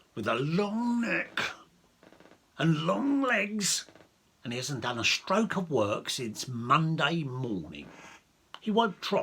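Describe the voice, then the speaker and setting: Using a put-on character voice, a man speaks at a very slow pace with long, frequent pauses. His fairly high pitch makes very wide swings. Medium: read story. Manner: aggrieved.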